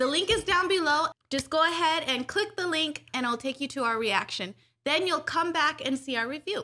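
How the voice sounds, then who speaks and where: Raised and projected, a woman's voice comes at a high pitch and fairly quick pace with a bright, sharp tone. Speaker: anime reaction youtuber. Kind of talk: casual chat. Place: home room. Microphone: studio mic.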